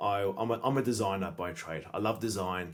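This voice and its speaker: This man has a fairly low pitch and speaks with an Australian accent. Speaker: sales expert and entrepreneur. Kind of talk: podcast interview.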